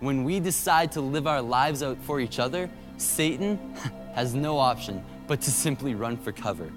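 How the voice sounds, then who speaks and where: With music in the background, a man of medium pitch talks at a moderate pace with lively intonation. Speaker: spoken word poet. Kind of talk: spoken word poetry performance at a church conference. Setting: live on stage at a church conference. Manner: rhythmic, rhymed delivery.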